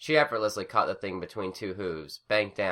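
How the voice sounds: In a natural reading voice, the intonation rises and falls in a lively way.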